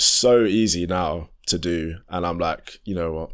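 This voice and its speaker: A man's very deep, low voice in a London accent, on a very clean recording with a silent background. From southeast London. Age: 20s. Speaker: R&B singer and musician. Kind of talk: podcast interview. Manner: casual, hesitant with fillers.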